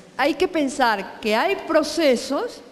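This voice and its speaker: A woman's very slow, lively-intoned speech with audible room echo. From Peru. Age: 70s. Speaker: professor. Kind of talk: Q&A after a lecture. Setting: conference.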